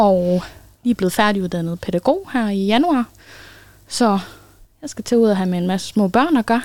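A woman at a medium pitch, with lively intonation, moderate pace and long, frequent pauses, on a very clean recording with a silent background. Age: 20s. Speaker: newly trained pedagogue. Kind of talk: casual interview. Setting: studio.

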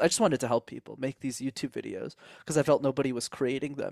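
Speaking at a fairly quick pace with a Canadian accent, a man uses a normal speaking voice at a fairly high pitch, recorded very clean with a silent background and a dry, close sound with no echo. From Canada, Montreal. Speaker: speaking coach. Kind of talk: interview.

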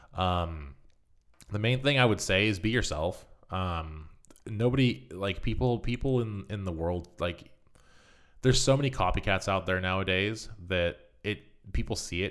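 A man's very deep, low voice with a Californian accent, on a very clean recording with a silent background. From US West Coast, Marin County, California. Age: 20s. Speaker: mountain bike content creator. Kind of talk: casual chat.

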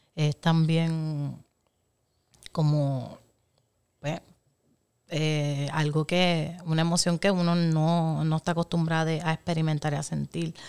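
A woman's very deep, low voice, monotone and flat, at a very slow pace with long, frequent pauses, in a dry, close sound with no echo. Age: 30s. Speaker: podcast guest. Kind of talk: casual chat.

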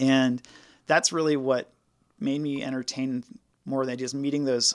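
An unremarkable speaking voice from a man at medium pitch with fairly even intonation. The sound is dry and close with no echo, on a very clean recording with a silent background. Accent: American. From rural South Carolina. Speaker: crisis counselor. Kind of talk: interview.

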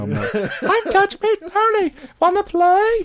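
Squeaky put-on character voice at a very slow pace. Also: woman, extremely high pitch for a woman. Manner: creepy, playful.

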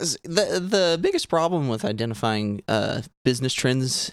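Here a man speaks in a Southern US accent at a medium pitch. His intonation is lively and his pace moderate. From Arkansas. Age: 20s. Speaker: cannabis industry worker. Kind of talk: casual chat. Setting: outdoors.

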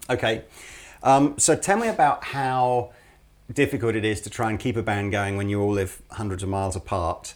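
With an English accent, a man speaks at a medium pitch and a moderate pace with ordinary pitch variation, recorded very cleanly against a silent background. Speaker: podcast host at a music shop channel. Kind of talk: casual interview. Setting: studio.

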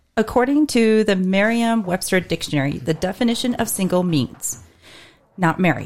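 A woman speaks at a moderate pace with a medium pitch. Her pitch swings very widely while her loudness stays very even. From Casper, Wyoming. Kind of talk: casual chat.

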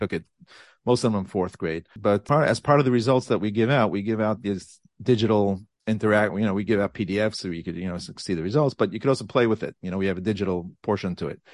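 Very fast speech from a man with a fairly low pitch, recorded with a dry, close sound and no echo. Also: ordinary pitch variation, quiet background. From Borough Park, Brooklyn, New York. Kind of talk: interview.

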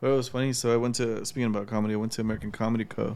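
Using an ordinary speaking voice, a man talks at a medium pitch with fairly even intonation. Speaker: podcast host. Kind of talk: casual banter podcast chat.

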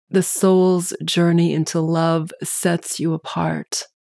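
A woman with a fairly low pitch talks at a very slow pace in a calm, gentle tone with monotone, flat intonation. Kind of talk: guided meditation. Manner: slow, calm, gentle.

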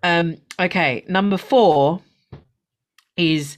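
In a very clean recording with a silent background, a woman speaks very slowly in a fairly low pitch. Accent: London. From London. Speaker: podcast host. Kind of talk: casual chat.

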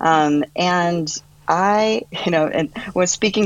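A woman's voice sits fairly low in pitch, with ordinary pitch variation. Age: 40s. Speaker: author and wellness coach, cancer survivor. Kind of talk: casual chat. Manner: halting, many fillers.

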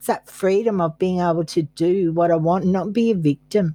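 A woman with an Australian accent speaks at a medium pitch in a dark, mellow tone, with a dry, close sound and no echo. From Australia, Queensland. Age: 60s. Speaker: therapist in recovery. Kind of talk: interview.

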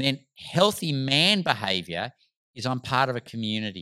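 A man with an Australian accent speaks in a bright, sharp tone, his pitch swinging very widely, on a very clean recording with a silent background. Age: 50s. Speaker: medical doctor and rites of passage facilitator. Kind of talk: casual chat.

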